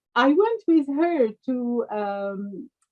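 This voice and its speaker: A woman speaks with a French accent at a high pitch. Her intonation is lively. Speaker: pediatrician. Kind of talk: interview. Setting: video call.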